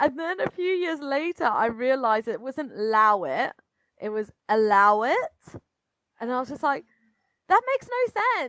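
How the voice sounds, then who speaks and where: A high-pitched woman with a British accent, very wide pitch swings, a moderate pace, and long, frequent pauses. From Britain. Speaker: astrologer. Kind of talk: casual chat.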